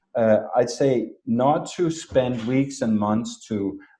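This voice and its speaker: A man with a non-native accent. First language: not English. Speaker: marketing expert. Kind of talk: interview.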